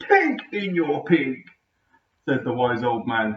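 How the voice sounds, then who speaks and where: Putting on a character voice, a man talks at a fairly slow pace with fairly high pitch and lively intonation. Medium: read story. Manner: calm, brief.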